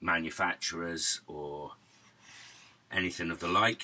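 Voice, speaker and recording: This man has a bright, sharp tone and speaks with a Norwich accent. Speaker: musician and YouTuber. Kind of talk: casual chat.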